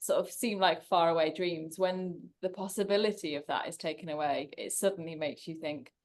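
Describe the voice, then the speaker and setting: With an English accent, a woman speaks at a fairly quick pace. Her pitch is fairly low, with ordinary variation. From England. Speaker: long-distance cycle tourist. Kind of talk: casual chat. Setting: video call.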